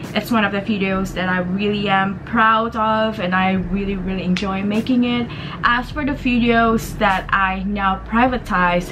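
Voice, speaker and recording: Noticeable background noise and audible room echo surround a woman at medium pitch. She talks at a fairly slow pace with fairly even intonation. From Indonesia (Jakarta). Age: 20s. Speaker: beauty vlogger and university student. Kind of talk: casual vlog talk to camera.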